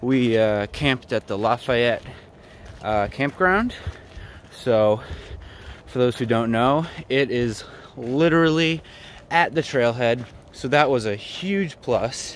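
A man speaks at a very slow pace with long, frequent pauses. The sound is dry with no echo, and there is light background noise. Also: ordinary pitch variation. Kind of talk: casual vlog chat. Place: forest. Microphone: phone near.

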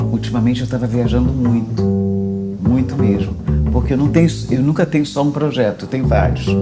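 There is clear music behind the speaker. The voice belongs to a woman. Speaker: actress and singer. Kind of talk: documentary interview answer. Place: home room. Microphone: lapel.

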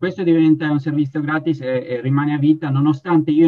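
The speaker talks at a fairly quick pace with fairly even intonation. The background is quiet. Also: man. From Italy. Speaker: patient. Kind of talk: testimony. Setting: video call. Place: home room. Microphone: video call.

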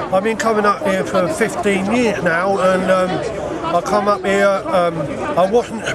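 A man speaks at a moderate pace. The sound is dry with no echo, and background noise is loud. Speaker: street preacher, recovering alcoholic. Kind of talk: interview answer, testimony. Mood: earnest, fervent testimony. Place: open country. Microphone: phone near.

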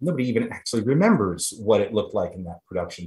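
The speaker is a man. His voice is somewhat breathy. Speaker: guest. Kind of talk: interview answer. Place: home room. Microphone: video call.

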